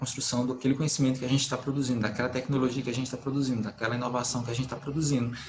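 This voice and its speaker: The voice is somewhat breathy. Audible room echo surrounds it. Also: man. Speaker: agronomist engineer, conference speaker. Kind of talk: online conference talk. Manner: fast; hesitant, many fillers.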